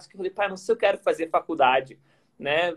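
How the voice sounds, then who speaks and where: A man speaks with a Gaúcho Brazilian accent. His intonation is fairly even. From southern Brazil, Porto Alegre. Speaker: workplace happiness expert, former tennis player. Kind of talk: casual interview chat. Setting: Instagram live, video call.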